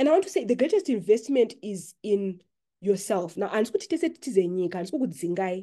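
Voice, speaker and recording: Her pitch fairly high and her intonation lively, a woman talks at a very fast pace. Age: 40s. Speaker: podcast host, personal finance educator. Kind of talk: online community meetup talk. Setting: video call.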